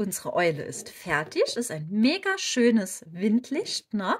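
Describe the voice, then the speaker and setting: With a slight Saarland accent, a woman speaks in a somewhat breathy voice whose pitch swings very widely. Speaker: crochet tutorial creator. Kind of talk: tutorial. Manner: casual, chatty.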